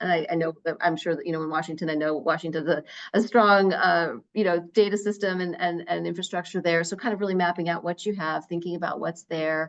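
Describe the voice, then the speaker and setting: A woman with an American accent talks at a very fast pace, her fairly low voice holding a fairly even intonation. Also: hardly any pauses. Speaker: researcher presenting to a state education council. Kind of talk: presentation at a public meeting. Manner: many fillers and repetitions.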